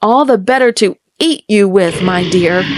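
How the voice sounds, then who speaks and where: In a growling, put-on character voice, the speaker goes at a moderate pace. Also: woman, medium pitch for a woman. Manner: snarling, menacing.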